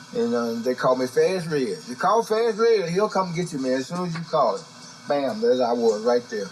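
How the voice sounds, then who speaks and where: A man with a fairly high pitch speaks at a moderate pace with lively intonation while music plays in the background. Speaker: blues musician. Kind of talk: storytelling interview.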